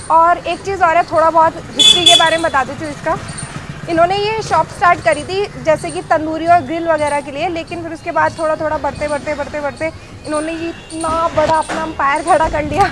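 Noticeable background noise sits behind a woman with an extremely high pitch. She speaks at a moderate pace with fairly even intonation. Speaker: food vlogger. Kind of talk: casual vlog chat. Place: street. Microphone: phone near.

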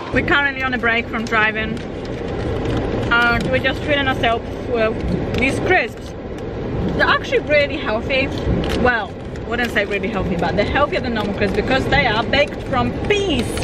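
A woman talks at a moderate pace with ordinary pitch variation and long, frequent pauses. The sound is dry with no echo, but loud background noise runs underneath. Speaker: travel vlogger. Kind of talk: casual vlog chat. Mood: mildly disappointed, chatty. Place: car. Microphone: phone near.

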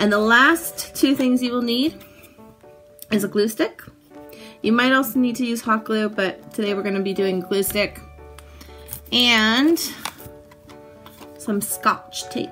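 Faint music plays in the background. The speech is fairly slow, with long, frequent pauses and ordinary pitch variation. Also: woman. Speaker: makerspace instructor. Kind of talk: tutorial. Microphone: phone near.

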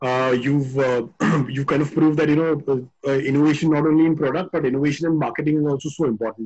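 Against a quiet background, a man talks at a very fast pace in a fairly high, somewhat breathy voice with fairly even intonation. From India. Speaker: webinar moderator. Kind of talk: webinar interview. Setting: video call. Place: open country. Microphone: phone near.

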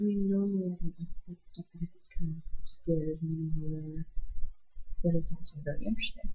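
A woman's somewhat breathy, fairly low voice with fairly even intonation. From island. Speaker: vlogger. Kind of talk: casual book review vlog. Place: home room. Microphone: webcam.

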